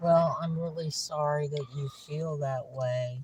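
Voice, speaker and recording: The speech comes at a fairly slow pace with fairly even intonation. The voice is somewhat breathy. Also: woman. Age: 60s. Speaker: homeless senior. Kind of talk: heated argument. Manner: hesitant.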